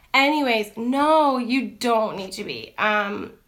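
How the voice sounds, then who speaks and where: A loud woman speaks in a bright, sharp tone at a fairly high pitch, with ordinary pitch variation. Audible room echo surrounds her voice. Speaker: teacher and lifestyle vlogger. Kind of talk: casual chat. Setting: Instagram live stream. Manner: loud and outgoing; chatty, many fillers.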